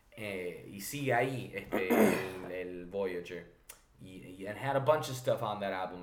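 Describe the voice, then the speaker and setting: Audible room echo hangs around the words of a male speaker. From Argentina, raised in Virginia and New York. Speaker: musician. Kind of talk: casual chat. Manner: animated.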